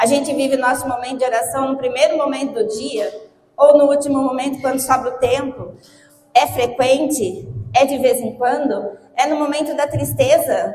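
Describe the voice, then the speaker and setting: A woman's high-pitched voice in a Brazilian accent, at a moderate pace with ordinary pitch variation, amid audible room echo. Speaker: lay preacher. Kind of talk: sermon. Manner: animated.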